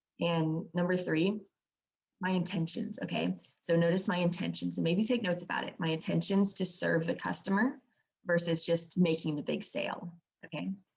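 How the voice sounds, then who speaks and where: Using a raspy, put-on character voice, a woman speaks at a moderate pace in a fairly low pitch. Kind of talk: sales-training presentation. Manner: very fast talker.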